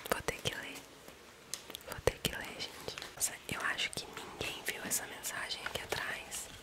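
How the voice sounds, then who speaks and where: Whispering comes through at a fairly slow pace. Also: woman. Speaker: ASMR creator. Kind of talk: ASMR whispering video, reading a message aloud. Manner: whispered, soft. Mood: calm, gentle, sleepy. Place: home room. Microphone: studio mic.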